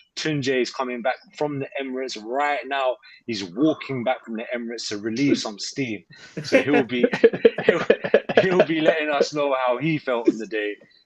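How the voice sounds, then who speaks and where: Over noticeable background noise, a man speaks at a moderate pace and medium pitch with ordinary pitch variation. His tone is animated, and his loudness swings widely. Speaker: football podcast host. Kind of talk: live podcast chat.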